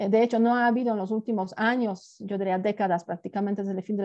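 With a Polish accent, a woman talks at medium pitch with fairly even intonation. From southern Poland, Gorlice. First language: Polish (speaking Spanish). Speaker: international relations professor and former ambassador. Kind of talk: interview.

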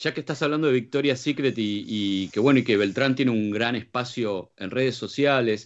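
At a moderate pace, a man with a plain, everyday voice speaks at medium pitch with ordinary pitch variation. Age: 40s. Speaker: radio co-host. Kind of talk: casual chat.

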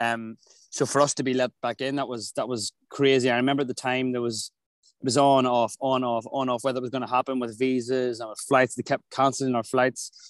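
A man with an Irish accent talks at a medium pitch and fairly quick pace in a monotone, flat intonation. The sound is dry and close with no echo, and the background is quiet. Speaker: touring singer. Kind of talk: casual chat. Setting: outdoors.

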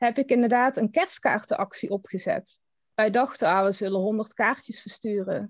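The sound is dry and close with no echo as a woman with a fairly high pitch talks at a moderate pace in an ordinary speaking voice. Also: ordinary pitch variation. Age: 30s. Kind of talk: casual chat.

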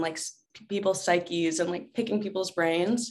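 In a plain, everyday voice, a woman speaks at medium pitch with an American accent, at a moderate pace. Her intonation is fairly even, and the background is quiet. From Atlanta, US South. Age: 20s. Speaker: actress. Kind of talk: casual interview.

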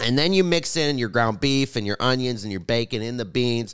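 A man talks at a fairly quick pace with a medium pitch. He has a plain, everyday voice, and the recording is very clean with a silent background. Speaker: podcast co-host, comedian. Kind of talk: casual banter.

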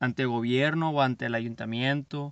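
A man speaks at a medium pitch. The sound is dry and close with no echo, over a quiet background. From Mexico, Culiacán, Sinaloa. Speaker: podcast host, entrepreneur. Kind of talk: motivational monologue. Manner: halting, with repeated words.

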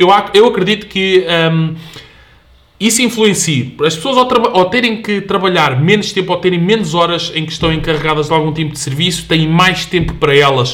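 Noticeable background noise fills the clip. A man with a European Portuguese accent speaks at a high pitch with ordinary pitch variation. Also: moderate pace. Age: 20s. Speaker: fitness specialist. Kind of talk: casual chat.

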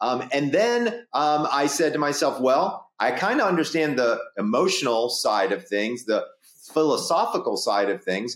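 At a moderate pace, a man with an American accent speaks at a fairly high pitch, his pitch swinging very widely while his loudness stays very even. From US South. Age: 50s. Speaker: sleep doctor and psychologist. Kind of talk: casual interview.

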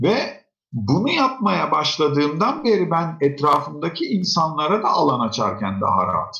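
A man's fairly high-pitched voice with vocal fry. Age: 40s. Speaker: educator and author. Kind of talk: interview. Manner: conversational.

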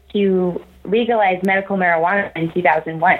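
A woman speaks at a medium pitch with ordinary pitch variation. Noticeable background noise is present. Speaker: recruiter. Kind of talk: casual interview.

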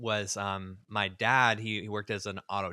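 The recording is very clean, with a silent background and a dry, close sound free of echo. The voice has a bright, sharp tone, fairly even intonation and an American accent. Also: man. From Southern California. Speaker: church ministry leader. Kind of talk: interview testimony.

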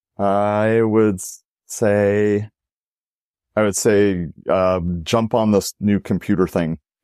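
A man's very slow, calm, monotone and flat delivery with long, frequent pauses, in a very clean recording with a silent background and a dry, close sound with no echo. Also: fairly low pitch for a man. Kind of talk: interview.

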